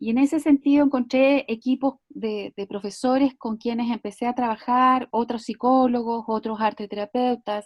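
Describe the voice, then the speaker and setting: A woman talks at a moderate pace with fairly even intonation and hardly any pauses, recorded with a dry, close sound and no echo. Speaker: psychologist and art therapist. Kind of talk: online talk. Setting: video call. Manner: hesitant, many fillers.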